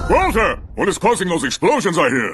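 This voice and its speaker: Speaking at a fairly quick pace, a man puts on a character voice with a high pitch. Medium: fan dub. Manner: commanding, arrogant.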